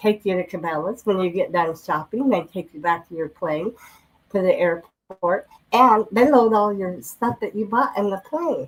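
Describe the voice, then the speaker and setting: With an American accent, a woman talks at a medium pitch. Her intonation is lively and her pace moderate. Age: 60s. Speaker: oil and gas worker, program member. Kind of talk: casual chat. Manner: natural storytelling.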